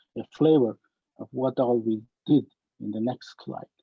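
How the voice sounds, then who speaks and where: A man's dark, mellow voice at a medium pitch and very slow pace, with ordinary pitch variation. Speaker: scientist. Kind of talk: webinar lecture. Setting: online webinar. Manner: hesitant, many fillers.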